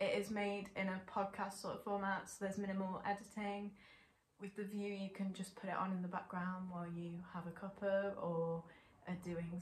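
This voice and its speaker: A somewhat breathy woman's voice at a moderate pace, with monotone, flat intonation and audible room echo. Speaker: channel host. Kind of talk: casual vlog intro. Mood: warm, relaxed. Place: home room.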